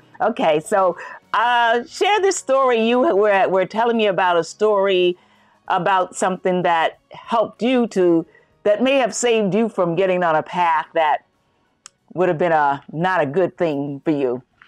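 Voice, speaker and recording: With music in the background, a woman talks at a fairly slow pace with lively intonation and very even loudness. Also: medium pitch for a woman. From US South, Greensboro, North Carolina. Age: 70s. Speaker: podcast co-host. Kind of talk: casual chat.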